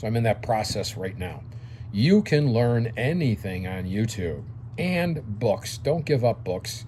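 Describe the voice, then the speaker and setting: A man talks at a fairly slow pace in a dark, mellow tone. His voice is somewhat breathy, with lively intonation. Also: medium pitch for a man. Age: 60s. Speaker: dry cleaning business consultant. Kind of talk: casual video lecture. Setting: home office. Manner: conversational, frequent fillers.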